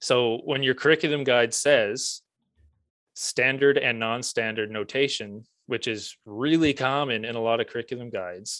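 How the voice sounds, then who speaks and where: This man has an unremarkable speaking voice at a medium pitch and a moderate pace. The recording is very clean, with a silent background. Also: ordinary pitch variation. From Prince Edward Island, Canada. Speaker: music teacher and author. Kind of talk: casual interview chat.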